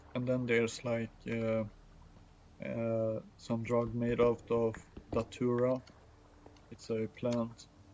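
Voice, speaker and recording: In a non-native accent, a man with a medium-pitched voice speaks at a very slow pace in a monotone, flat way, with long, frequent pauses. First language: not English. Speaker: gaming streamer. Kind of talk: casual chat. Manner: halting, many fillers and restarts.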